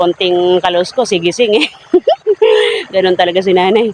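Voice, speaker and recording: Over noticeable background noise, a man speaks at a fairly quick pace in a high pitch. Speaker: vlogger. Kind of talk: casual talk to camera.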